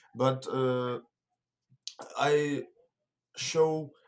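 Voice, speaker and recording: This is a man's voice. He speaks in a monotone, flat way. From Russia. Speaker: pro wrestler. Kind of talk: interview. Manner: halting.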